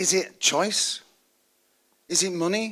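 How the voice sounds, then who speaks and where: A man with a British accent speaks in a high pitch, his tone bright, sharp and animated. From United Kingdom. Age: 70s. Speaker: university advisor, speaker. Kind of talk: seminar talk to students. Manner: animated, conversational.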